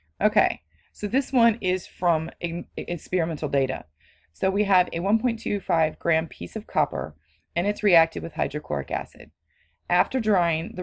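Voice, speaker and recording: Fairly low-pitched woman's voice with vocal fry and ordinary pitch variation, over a quiet background. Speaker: chemistry teacher. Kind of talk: lecture. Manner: fast.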